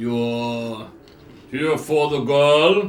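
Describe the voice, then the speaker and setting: Using a put-on character voice, a man speaks at a fairly high pitch with audible echo. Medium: actual play.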